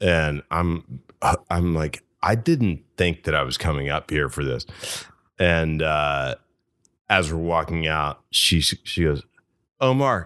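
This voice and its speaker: On a very clean recording with a silent background, a man with a Southern US accent speaks very slowly in a very deep, low pitch and a bright, sharp tone, with ordinary pitch variation and long, frequent pauses. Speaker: actor. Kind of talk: casual chat.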